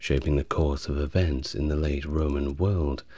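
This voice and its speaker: Speaking fairly slowly, a man has a very deep, low voice with a dark, mellow tone and some breathiness, recorded dry with no echo against a quiet background. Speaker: history narrator. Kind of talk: soft-spoken history lecture.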